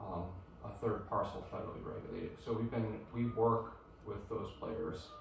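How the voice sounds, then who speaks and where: A man with a fairly low pitch talks at a moderate pace, with audible room echo and light background noise. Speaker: guest. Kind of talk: presentation talk. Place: meeting room. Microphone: camera far.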